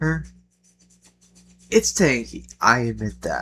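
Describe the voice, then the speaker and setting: The man speaks quietly. His pace is very slow. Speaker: gaming youtuber. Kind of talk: casual commentary. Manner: quiet, kept down; hesitant, with fillers.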